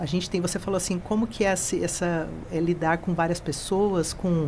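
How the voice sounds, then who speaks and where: With a Mato Grosso do Sul accent, a woman speaks at a moderate pace and fairly low pitch, her intonation fairly even and her loudness very even. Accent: Mato Grosso do Sul accent, noticeable. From Mato Grosso do Sul, Brazil. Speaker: college director. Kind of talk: interview.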